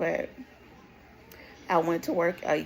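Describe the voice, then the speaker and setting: Noticeable background noise is present. The speaker talks at a fairly slow pace. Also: woman. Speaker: stroke survivor vlogger. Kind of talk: personal testimony. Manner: deliberately slow, sounding out words.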